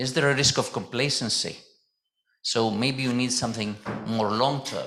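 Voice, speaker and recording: A man speaks at medium pitch in a bright, sharp tone. Audible room echo surrounds his ordinary pitch variation. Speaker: mechanical engineer, safety committee chairman presenting. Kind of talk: conference presentation. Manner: loud.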